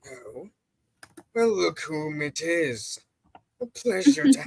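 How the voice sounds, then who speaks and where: Someone performs a put-on character voice at a very slow pace, swinging very widely in pitch. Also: man, high pitch for a man. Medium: game stream. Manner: formal, smug.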